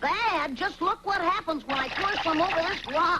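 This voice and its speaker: A cartoonish character voice speaks at an extremely high pitch and a moderate pace. Loud background noise is present. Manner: friendly, innocent.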